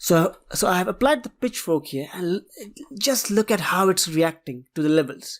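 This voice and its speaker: With a non-native accent, a woman talks at a moderate pace in a medium pitch, her intonation lively. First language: not English. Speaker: trading analysis youtuber. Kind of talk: tutorial.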